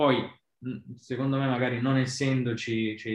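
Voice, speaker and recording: A man talks at a medium pitch and a moderate pace. His intonation stays fairly even. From Basilicata, southern Italy. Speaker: design lead at a bank. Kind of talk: casual interview chat. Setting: video call. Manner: halting, many fillers.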